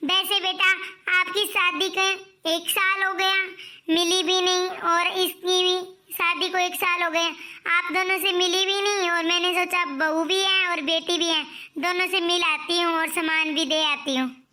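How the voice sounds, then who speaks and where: Music in the background behind a woman's cartoonish character voice, extremely high in pitch, monotone and flat, at a moderate pace. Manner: soft, wistful.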